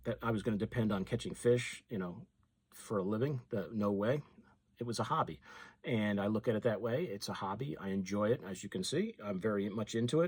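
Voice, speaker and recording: In a very clean recording with a silent background, a man talks in a normal speaking voice at fairly low pitch and fairly quick pace, with ordinary pitch variation. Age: 60s. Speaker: fishing YouTuber. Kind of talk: casual talk to camera.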